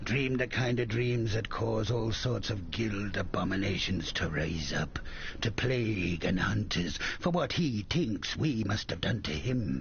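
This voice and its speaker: Noticeable background noise behind a put-on character voice at a moderate pace. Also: man, fairly low pitch for a man. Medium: video game. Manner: coarse, profane, grumbling.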